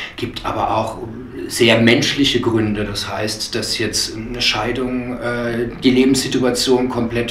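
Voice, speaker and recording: Audible room echo and light background noise surround a man talking at a fairly slow pace. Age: 50s. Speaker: animal shelter director. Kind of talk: interview. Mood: earnest, persuasive.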